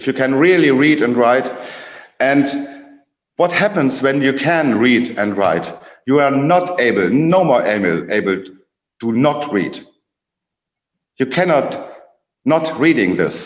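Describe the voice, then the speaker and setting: A man's fairly high-pitched voice with lively intonation and a German accent, fairly slow, with long, frequent pauses and audible room echo. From Germany. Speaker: academic presenter. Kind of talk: presentation talk. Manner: halting.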